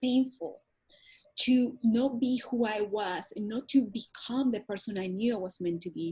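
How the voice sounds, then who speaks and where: A woman with a Spanish accent talks at a moderate pace in a fairly high voice. Her tone is dark and mellow, with ordinary pitch variation. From Venezuela. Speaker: holistic wellness coach. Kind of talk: interview. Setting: radio or podcast interview.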